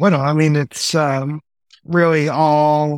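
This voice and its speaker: In a dry, close sound with no echo, a man with an American accent and fairly high pitch speaks at a very slow pace. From New York. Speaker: entertainment business executive. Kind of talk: casual interview chat. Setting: video call.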